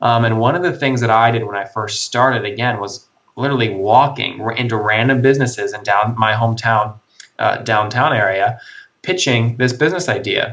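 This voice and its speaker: With a plain, everyday voice, a man talks at a fairly quick pace, medium pitch and ordinary pitch variation. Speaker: college entrepreneur. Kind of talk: interview. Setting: Skype call.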